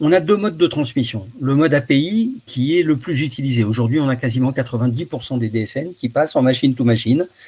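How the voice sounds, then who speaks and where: Somewhat breathy, the man has a dark, mellow tone and a fairly quick pace. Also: medium pitch for a man, ordinary pitch variation. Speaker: webinar presenter. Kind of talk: webinar presentation. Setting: online webinar. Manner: fast; hesitant, repeats words.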